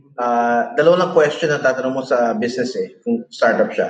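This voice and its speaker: A man speaks with very wide pitch swings. Noticeable background noise is present. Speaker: startup founder and CEO. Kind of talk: interview conversation.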